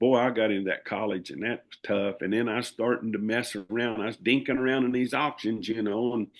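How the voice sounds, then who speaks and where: A man with a Southern US accent, medium in pitch. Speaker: livestock auctioneer. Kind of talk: interview answer. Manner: casual, rambling.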